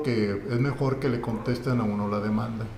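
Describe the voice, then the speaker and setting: Against noticeable background noise and audible room echo, a man speaks at a moderate pace with fairly even intonation. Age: 60s. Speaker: lawyer and university lecturer. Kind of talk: podcast interview.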